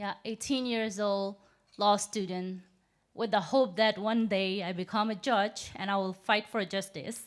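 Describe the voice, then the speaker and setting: In a Burmese accent, a woman speaks very slowly with fairly even intonation. The recording is very clean, with a silent background. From Myanmar, Yangon. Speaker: human rights activist. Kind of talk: speech. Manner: halting.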